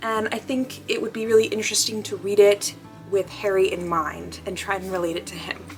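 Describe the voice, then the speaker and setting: A woman talks at a fairly quick pace and medium pitch, with ordinary pitch variation. Noticeable background noise is present. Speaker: book vlogger. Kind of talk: casual vlog talking to camera. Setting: in bed at night. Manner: fast; animated, filler-heavy with um and like.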